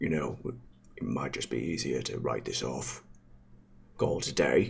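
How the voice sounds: Moderate-paced speech from a man doing a put-on character voice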